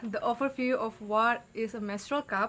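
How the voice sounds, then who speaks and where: Speaking with a non-native accent, a woman has a high pitch and ordinary pitch variation. Her pace is moderate. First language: not English. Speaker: YouTuber and midwifery student. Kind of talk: casual vlog talk.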